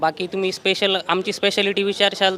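A man with a high pitch uses a raised, projected voice over noticeable background noise. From Yeola, Nashik district, Maharashtra. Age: 20s. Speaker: restaurant co-owner. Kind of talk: interview.

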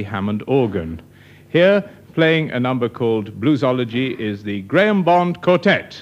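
This man speaks at a fairly slow pace. His intonation is lively. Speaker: radio show host. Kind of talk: radio announcement. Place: studio. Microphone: old recording.

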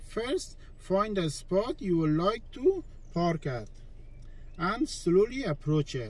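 A man speaks at a very slow pace. The sound is dry, with no echo. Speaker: driving instructor. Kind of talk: tutorial. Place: car.

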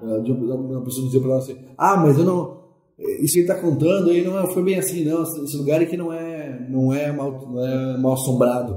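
This man has a plain, everyday voice, fairly high in pitch with ordinary variation, at a moderate pace. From Porto Alegre, southern Brazil. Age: 40s. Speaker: musician, ghost-tour guide. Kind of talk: interview.

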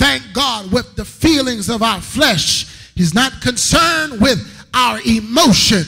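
Against a quiet background, a man uses a raised, projected voice at an extremely high pitch, speaking very slowly. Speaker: guest preacher. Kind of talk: sermon. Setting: church with live congregation. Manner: fervent, filler-heavy with amen and thank God. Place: church. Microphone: podium.

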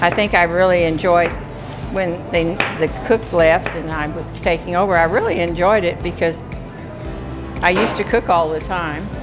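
Over clear music in the background, a woman speaks at a moderate pace and fairly low pitch, with long, frequent pauses. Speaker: senior center cook. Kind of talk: interview answer. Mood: cheerful, upbeat. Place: kitchen.

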